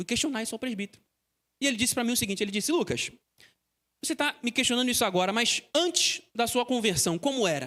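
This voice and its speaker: In a very clean recording with a silent background, a man speaks in a raised, projected voice at an extremely high pitch with a bright, sharp tone, lively intonation and a very fast pace broken by long, frequent pauses. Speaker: seminary student preacher. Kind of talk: sermon. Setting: church.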